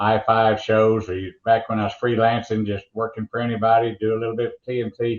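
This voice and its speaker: Speaking in an Oklahoma accent, a man has a fairly low pitch. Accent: Oklahoma drawl. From rural Oklahoma. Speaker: motorsports announcer. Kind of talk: interview storytelling.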